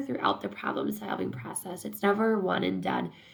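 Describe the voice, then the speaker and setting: A woman speaks over noticeable background noise. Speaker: instructor. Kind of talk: lecture. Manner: halting with fillers.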